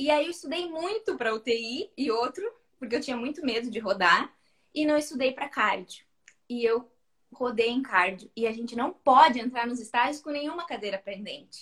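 A woman with a high voice talks at a medium speed. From Rio Grande do Sul, Brazil (Santa Vitória do Palmar). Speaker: pelvic physiotherapist. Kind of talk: casual chat.

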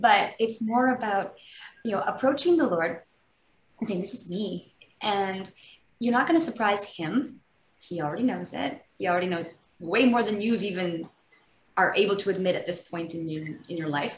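A woman with a Canadian accent speaks at a moderate pace in a somewhat breathy, medium-pitched voice, with lively intonation and long, frequent pauses. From British Columbia, Canada. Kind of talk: interview, personal faith testimony.

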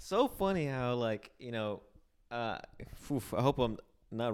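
In a very clean recording with a silent background, a medium-pitched man speaks with lively intonation and long, frequent pauses. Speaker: podcast co-host. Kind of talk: casual chat. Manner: heavy breathing into mic.

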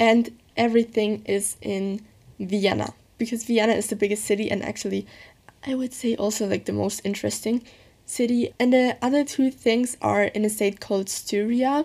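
A woman with a German accent speaks at a moderate pace. Her voice is fairly high, with fairly even intonation. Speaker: podcaster. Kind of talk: casual monologue.

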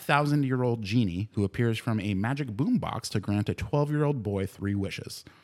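This man uses an ordinary speaking voice, moving fairly fast with lively intonation. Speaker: podcast co-host. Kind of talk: casual chat. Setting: studio. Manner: joking, swears often.

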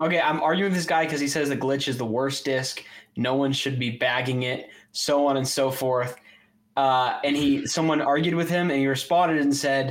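In a normal speaking voice, a man talks with a fairly high pitch and fairly even intonation. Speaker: podcast co-host and disc golfer. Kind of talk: casual chat.

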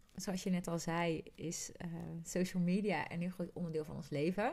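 In a very clean recording with a silent background, a woman of medium pitch speaks at a moderate pace. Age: 30s. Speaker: podcast co-host, coach and trainer. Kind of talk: casual chat.

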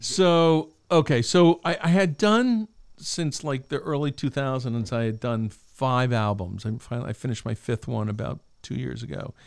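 In a plain, everyday voice, a man speaks with an American accent at a medium pitch and a moderate pace. His intonation is lively, and the recording is very clean over a silent background. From Albany, New York. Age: 60s. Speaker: guitarist and music writer. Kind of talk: casual interview chat. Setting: music school studio.

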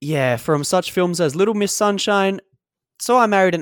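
A man with a high voice speaks at a moderate pace, his tone animated and his pitch varying in an ordinary way. The recording is very clean with a silent background, and the sound is dry and close with no echo. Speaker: film podcast co-host. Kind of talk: casual chat.

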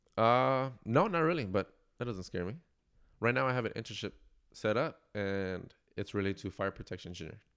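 A normal speaking voice with an American accent and lively intonation. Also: man, medium pitch for a man, fairly quick pace. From East Los Angeles, California. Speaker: engineering student. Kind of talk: casual interview. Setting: home bedroom studio.

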